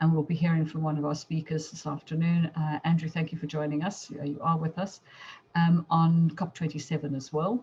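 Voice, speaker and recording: A woman speaks in a very deep, low pitch with a dark, mellow tone. Her voice is somewhat breathy and her intonation is monotone and flat. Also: fairly quick pace. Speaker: chamber of commerce chair. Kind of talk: business presentation. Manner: fast.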